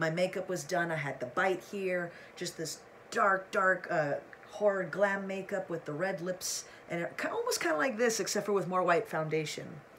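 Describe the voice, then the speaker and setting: There is noticeable background noise. Through it, a woman speaks at a moderate pace. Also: medium pitch for a woman, ordinary pitch variation. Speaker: YouTuber. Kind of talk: casual vlog talk to camera. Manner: animated.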